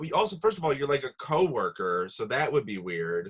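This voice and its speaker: A man speaks at a moderate pace with a Midwestern accent. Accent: Midwestern-sounding. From Rochester, New York, US. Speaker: comedy podcast host. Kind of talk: casual chat.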